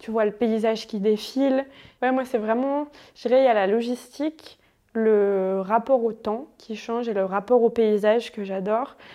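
A woman's voice has a dark, mellow tone. Her intonation stays fairly even. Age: 20s. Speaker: anthropologist, traveller. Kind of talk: casual interview, travel testimony. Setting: home living room.

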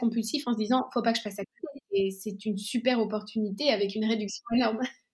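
A woman is speaking. Her pace is fairly quick. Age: 30s. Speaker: entrepreneur, co-founder of a clothing rental company. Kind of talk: interview.

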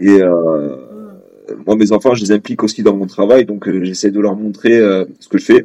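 Fairly low-pitched and dark, mellow in tone, a man speaks at a fairly quick pace with fairly even intonation against a quiet background. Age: 30s. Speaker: restaurant manager and father. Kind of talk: interview testimony. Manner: hesitant, many fillers.

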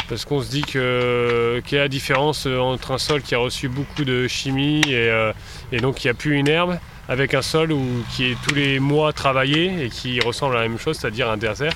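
The speech moves at a moderate pace with fairly even intonation and noticeable background noise. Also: man, medium pitch for a man. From northern France. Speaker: winegrower. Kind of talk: field interview. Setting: outdoors in vineyard.

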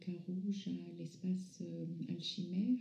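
This woman talks at a very slow pace and a medium pitch. Her voice is somewhat breathy, with a dark, mellow tone. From France, from age 11; born in North Africa to Iranian parents. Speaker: visual artist, former architect. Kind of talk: interview. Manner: halting.

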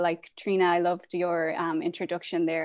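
Against a quiet background, a woman with an Irish accent speaks at a fairly low pitch in a monotone, flat intonation. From Ireland. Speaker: end-of-life doula and yoga teacher. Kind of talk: interview.

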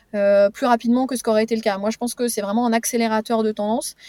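A woman with a fairly high pitch and fairly even intonation is recorded with a dry, close sound and no echo. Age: 40s. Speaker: startup executive. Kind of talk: interview. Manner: halting, many hesitations.

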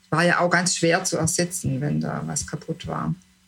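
A woman talks at a fairly slow pace while noticeable background noise carries on. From southern Germany, Lake Constance region. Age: 60s. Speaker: retiree interviewee. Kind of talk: interview. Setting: video call. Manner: halting, many fillers.

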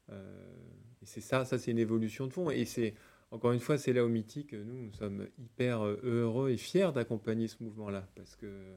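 Heard on a very clean recording with a silent background, a man's voice carries a dark, mellow tone. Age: 40s. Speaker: tech company executive. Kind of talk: interview.

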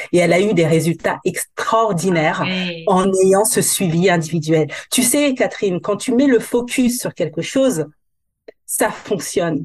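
Somewhat breathy and at a medium pitch, a woman speaks at a fairly slow pace with lively intonation. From metropolitan France, Guadeloupean family. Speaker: hair coach. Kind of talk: casual interview.

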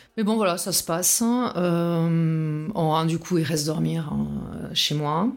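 Amid audible room echo, a woman with fairly low pitch speaks at a very slow pace, showing ordinary pitch variation and very even loudness. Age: 40s. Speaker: testimony guest on abusive relationship. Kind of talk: testimony.

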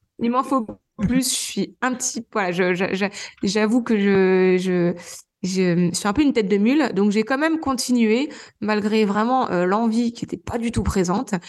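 Using an ordinary speaking voice, a woman talks at a fairly slow pace with fairly high pitch and ordinary pitch variation. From Normandy, France. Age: 30s. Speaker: trail runner and gynecologist. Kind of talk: interview.

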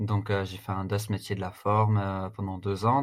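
Against a silent background in a very clean recording, a man talks at a moderate pace in a fairly low, somewhat breathy voice with fairly even intonation. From France, Strasbourg. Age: 30s. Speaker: fitness coach and agency founder. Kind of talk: casual interview. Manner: hesitant, many fillers and repetitions.

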